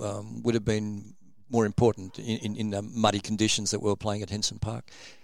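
Delivered in an Australian accent, the speech stays monotone, with flat intonation. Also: man. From Sydney, Australia. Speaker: former rugby league player. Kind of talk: interview. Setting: studio. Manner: halting, many ums.

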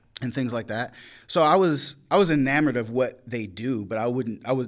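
In a very clean recording with a silent background, a man with an American accent talks at a very fast pace, using a medium pitch and ordinary pitch variation. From rural eastern North Carolina. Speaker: poet. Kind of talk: casual interview. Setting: university venue after live event.

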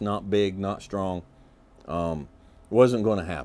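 A man talks at a fairly slow pace in a Southern US accent, his pitch fairly low with ordinary pitch variation. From Kentucky. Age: 50s. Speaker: podcast host. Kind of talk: casual monologue.

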